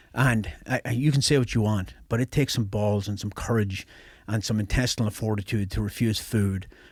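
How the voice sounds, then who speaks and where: A man with an Irish accent speaks in a fairly low, somewhat breathy voice on a very clean recording with a silent background. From Ireland, near the Northern Ireland border. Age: 50s. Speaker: special forces veteran. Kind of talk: casual chat.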